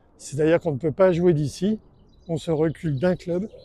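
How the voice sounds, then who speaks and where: High-pitched for a man, this voice has a dark, mellow tone and fairly even intonation, in a dry, close sound with no echo. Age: 70s. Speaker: fling golf player and video maker. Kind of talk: tutorial commentary. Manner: hesitant, many fillers.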